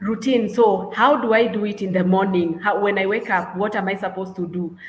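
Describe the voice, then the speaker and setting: A woman's medium-pitched, fairly quick delivery with fairly even intonation, audible room echo, and noticeable background noise. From Kenya. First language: Kenyan mother tongue, not English. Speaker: English and literature teacher. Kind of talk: webinar presentation. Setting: online webinar. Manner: halting, many fillers.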